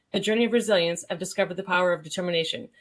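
A woman talks at a very fast pace. Her pitch moves in an ordinary way. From New England. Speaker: podcast host. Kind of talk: upbeat, scripted podcast intro. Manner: fast talker.

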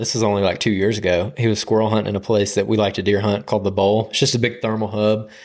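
A man with an Alabama accent speaks in a very clean recording against a silent background. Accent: US Southern (Alabama). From Alabama, Birmingham area. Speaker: hunting podcast co-host. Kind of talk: casual chat. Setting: studio.

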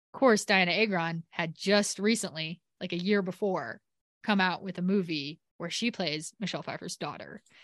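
In a quiet background with a dry, close sound and no echo, a woman uses an unremarkable speaking voice at medium pitch, with ordinary pitch variation and a moderate pace. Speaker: podcast host. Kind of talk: casual chat. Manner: chatty, joking.

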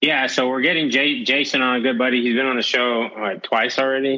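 Using a plain, everyday voice with an American accent, a man talks at medium pitch and a fairly quick pace with fairly even intonation. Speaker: podcast host. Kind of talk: casual chat. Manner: casual.

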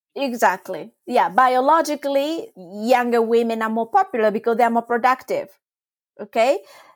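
A woman with a high pitch and lively intonation at a moderate pace, in a very clean recording with a silent background. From Japan. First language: Japanese. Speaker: trauma release exercise teacher. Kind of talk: casual interview explanation.

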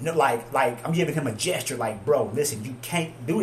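This man races along at a very fast pace amid noticeable background noise. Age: 30s. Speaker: entrepreneur. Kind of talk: casual chat. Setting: barbershop office.

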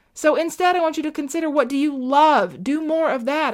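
The voice is upbeat and warm, moving at a fairly quick pace. The recording is very clean and the background silent. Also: woman. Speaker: podcast host and veterinarian coach. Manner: warm, encouraging, direct address with repeated reassurance (my friend); emphatic and upbeat, repeating key lines for impact.

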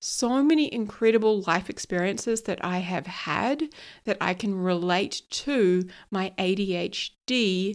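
A woman speaks fairly slowly at a medium pitch. Her pitch varies in an ordinary way. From New Zealand. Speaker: podcast host and ADHD coach. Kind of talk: solo podcast monologue.

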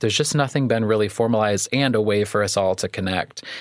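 The voice carries a Midwestern American accent and fairly even intonation. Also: man. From US Midwest, Iroquois County, Illinois. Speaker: therapist and community organizer. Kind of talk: interview conversation.

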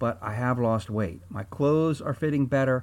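Recorded very cleanly over a silent background, a man speaks at a moderate pace in an ordinary speaking voice. His medium pitch moves with lively intonation. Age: 60s. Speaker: chiropractor and health podcast host. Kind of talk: solo health talk. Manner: casual, with filler words.

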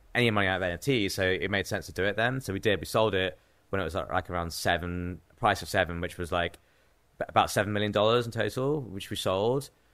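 Someone with an English accent speaks in a bright, sharp tone with lively intonation, on a very clean recording with a silent background. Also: man. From England (Cambridge). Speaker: professional trader and artist. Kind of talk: casual interview.

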